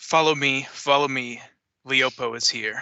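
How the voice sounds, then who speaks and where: A put-on character voice, squeaky in sound, speaks at a moderate pace. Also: man. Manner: urgent.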